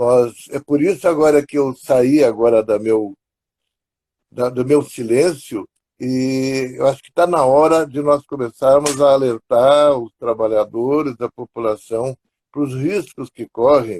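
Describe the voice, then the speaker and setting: Dark and mellow in tone, a man speaks at medium pitch and a fairly slow pace with ordinary pitch variation, dry and close with no echo. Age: 80s+. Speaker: psychologist. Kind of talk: live stream interview.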